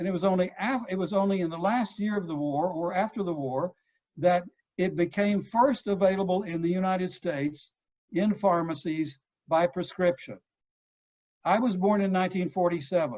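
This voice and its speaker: With a Texan accent, a man of high pitch talks at a moderate pace with ordinary pitch variation. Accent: Texan American. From Texas. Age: 70s. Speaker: psychoanalyst. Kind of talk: lecture. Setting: video call.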